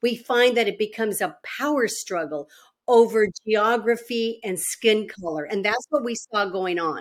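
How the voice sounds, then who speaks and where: A woman with an American accent talks at a moderate pace in a normal speaking voice, fairly high in pitch, with ordinary pitch variation. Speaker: former state senator. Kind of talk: interview.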